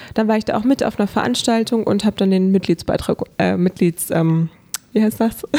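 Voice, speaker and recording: With a normal speaking voice, a woman talks at a fairly quick pace and medium pitch, showing ordinary pitch variation and very even loudness, in a dry, close sound with no echo. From northern Germany, Hannover. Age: 20s. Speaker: social media blogger and local politician. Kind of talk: interview. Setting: studio.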